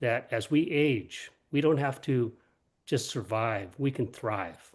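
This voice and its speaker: A man speaks at a very slow pace with a medium pitch. His pitch varies in an ordinary way against a quiet background. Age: 70s. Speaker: wellness advocate. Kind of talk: panel discussion.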